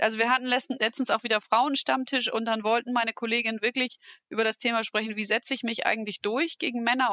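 This woman's voice has a high pitch and a bright, sharp tone. She talks very fast in a dry, close sound with no echo. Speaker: manager. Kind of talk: casual chat.

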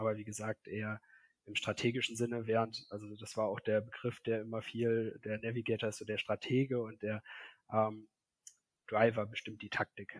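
In a very clean recording with a silent background, a man talks at a moderate pace and medium pitch, his intonation monotone and flat, the sound dry and close with no echo. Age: 30s. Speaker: software developer. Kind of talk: casual chat. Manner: hesitant, many fillers.

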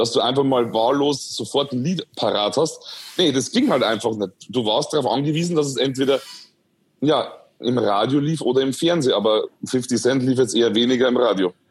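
A man with a medium pitch and ordinary pitch variation talks at a fairly quick clip. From Bavaria, Upper Palatinate (Schwandorf). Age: 20s. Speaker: influencer. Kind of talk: interview, casual chat. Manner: hesitant, many fillers.

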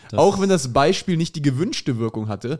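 An unremarkable speaking voice from a man, fairly high in pitch, with lively intonation. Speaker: comedian. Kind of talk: casual chat.

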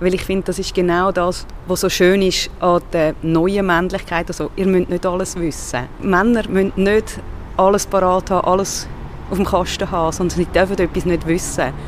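With a Swiss accent and monotone, flat intonation, a woman speaks at a moderate pace amid noticeable background noise. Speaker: podcast host. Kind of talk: interview.

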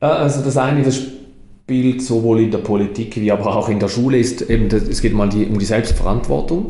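A man's somewhat breathy voice has a dark, mellow tone and very even loudness. Audible room echo surrounds it. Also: medium pitch for a man, ordinary pitch variation, moderate pace, hardly any pauses. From Switzerland, Toggenburg (St. Gallen). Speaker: mayor and politician. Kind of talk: interview conversation. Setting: town hall office.

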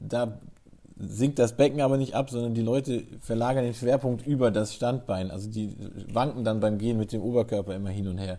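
Dark and mellow in tone, a man speaks at a medium pitch and a fairly quick pace with fairly even intonation. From southwestern Germany, Freiburg. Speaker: sports physiotherapist. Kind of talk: expert interview. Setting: office.

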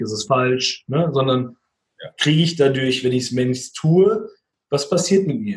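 Lively in intonation and somewhat breathy, a man is speaking. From Hesse, Frankfurt area. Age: 30s. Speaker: musician and leadership trainer. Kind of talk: interview conversation.

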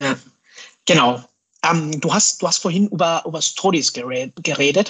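A man talks at a fairly high pitch. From Mexico. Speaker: scrum master and hardware designer. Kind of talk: interview. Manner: hesitant, many fillers.

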